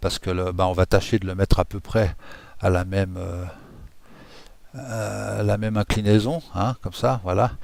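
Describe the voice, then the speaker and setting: Pausing long and often, a man with a very deep, low voice talks at a fairly slow pace with ordinary pitch variation, on a very clean recording with a silent background. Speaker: software tutorial creator. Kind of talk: tutorial. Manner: casual, hesitant with many fillers.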